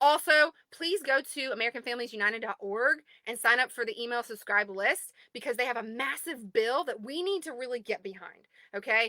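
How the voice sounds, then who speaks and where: A woman talks at a high pitch and a fairly quick pace, her tone animated, bright and sharp, her intonation lively, in a dry, close sound with no echo. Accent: Southern US. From US South. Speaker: advocacy group admin. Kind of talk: livestream address to group members. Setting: recording in a closet at home.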